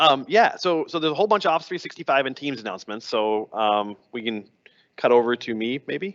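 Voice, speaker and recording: A man's medium-pitched voice at a fairly quick pace, with very wide pitch swings, a dry, close sound with no echo and a quiet background. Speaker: tech show co-host. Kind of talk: casual chat. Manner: fast.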